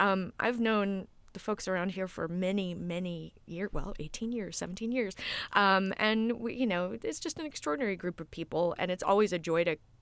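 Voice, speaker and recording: In a very clean recording with a silent background, a woman speaks in an ordinary speaking voice with an American accent, medium pitch, ordinary pitch variation and a moderate pace. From Texas. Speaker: voice actress and stage actor. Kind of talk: interview.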